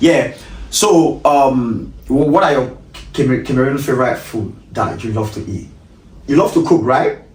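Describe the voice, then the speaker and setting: The speech runs at a fairly slow pace amid noticeable background noise and audible room echo. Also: man. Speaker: talk show host. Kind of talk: casual interview chat. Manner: halting, stammers and repeats words.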